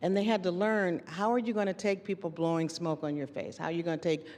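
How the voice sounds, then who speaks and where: A woman with an American accent speaks in an unremarkable speaking voice. Her pitch sits fairly low and varies in an ordinary way. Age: 60s. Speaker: university administrator and panelist. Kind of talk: panel discussion.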